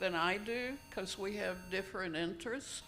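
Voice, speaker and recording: A woman speaks at a fairly slow pace with ordinary pitch variation, her voice picking up audible room echo. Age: 70s. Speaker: retired downsizer, panelist. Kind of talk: panel discussion. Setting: conference room with audience.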